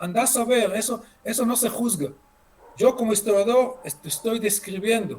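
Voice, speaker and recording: A man speaks at a moderate pace with ordinary pitch variation. His pitch is extremely high. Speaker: history lecturer. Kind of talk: lecture. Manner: halting, many fillers and repeats.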